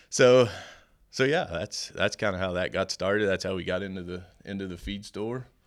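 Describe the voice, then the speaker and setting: In a very clean recording with a silent background, a man with a West Texas accent speaks in a very deep, low pitch. His pace is moderate, with long, frequent pauses. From Amarillo, Texas. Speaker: farrier supply business owner. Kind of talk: casual interview. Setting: live at a farrier clinic.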